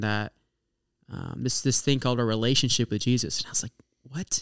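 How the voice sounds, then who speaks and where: Here a man speaks with an American accent at medium pitch. The sound is dry and close with no echo, and his intonation stays fairly even. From Oklahoma. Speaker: ministry student. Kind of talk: testimony. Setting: studio.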